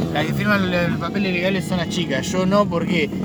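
Speaking at a fairly quick pace, a man talks in a high-pitched voice. Audible room echo and noticeable background noise come through. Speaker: podcast host. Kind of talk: casual chat. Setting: outdoors in a park. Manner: animated.

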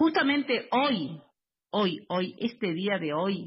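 A woman with a fairly high, somewhat breathy voice speaks at a fairly slow pace with lively intonation. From Buenos Aires, Argentina. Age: 40s. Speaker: housing cooperative resident and activist. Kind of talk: interview. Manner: halting, many fillers.

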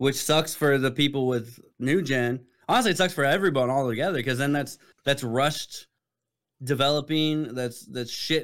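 A man talks in a plain, everyday voice at fairly high pitch and a moderate pace, with ordinary pitch variation. The recording is very clean with a silent background. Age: 30s. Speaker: military veteran co-host. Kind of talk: casual chat.

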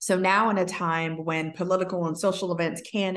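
A woman with an unremarkable speaking voice talks at a fairly slow pace. Her pitch is fairly low. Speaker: podcast host. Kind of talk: casual interview.

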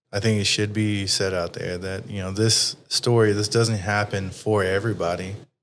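Recorded very cleanly against a silent background, a man with a Texas accent talks at a fairly slow pace in a fairly low, flat monotone. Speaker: podcast host. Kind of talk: casual interview chat. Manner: casual, profane.

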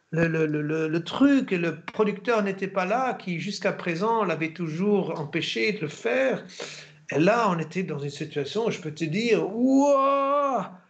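The delivery has lively intonation at a fairly slow pace. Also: man, high pitch for a man. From Germany. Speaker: actor. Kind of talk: interview.

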